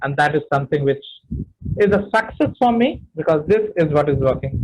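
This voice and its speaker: A man's somewhat breathy voice carries lively intonation. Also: fairly high pitch for a man, moderate pace. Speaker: public speaking trainer. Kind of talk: webinar talk.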